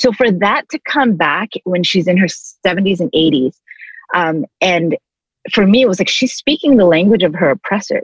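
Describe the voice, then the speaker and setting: A somewhat breathy woman speaks at a fairly slow pace with lively intonation, recorded in a dry, close sound with no echo. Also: medium pitch for a woman. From Canada. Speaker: speaker and ministry leader. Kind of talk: casual interview.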